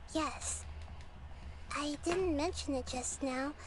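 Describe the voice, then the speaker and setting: A female-sounding, put-on character voice speaks at a very slow pace. Loud background noise runs underneath. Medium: video game. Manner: gentle, reassuring.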